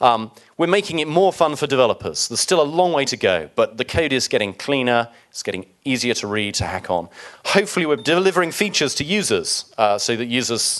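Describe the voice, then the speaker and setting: His pitch leaps across a very wide range. The man talks very fast. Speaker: software developer presenter. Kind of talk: conference talk.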